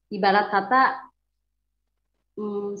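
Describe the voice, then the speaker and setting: Audible room echo surrounds a woman speaking at medium pitch with monotone, flat intonation. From West Java, Bandung (Sundanese). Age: 40s. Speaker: testimony giver, convert. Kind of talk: personal testimony. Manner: casual, hesitant with fillers.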